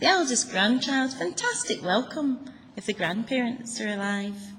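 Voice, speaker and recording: Over clear background noise, a woman puts on a character voice with fairly high pitch at a moderate pace. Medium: read story. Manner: emphatic, growing louder, proud.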